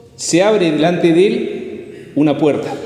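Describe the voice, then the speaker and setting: A man speaks with ordinary pitch variation. Audible room echo and noticeable background noise surround him. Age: 60s. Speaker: lay preacher. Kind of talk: sermon.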